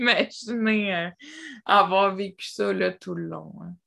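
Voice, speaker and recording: A silent background and a very clean recording of a woman speaking. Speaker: podcast host. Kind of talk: casual interview.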